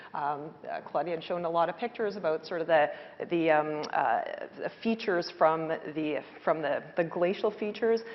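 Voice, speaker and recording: A woman's fairly low voice, with ordinary pitch variation, at a moderate pace. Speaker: hydrogeologist. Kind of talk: panel discussion. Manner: loud; hesitant, many fillers.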